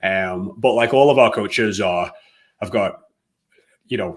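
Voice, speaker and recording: A man with an English accent talks at a fairly low pitch. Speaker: fitness coaching business owner. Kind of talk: interview. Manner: hesitant, many fillers.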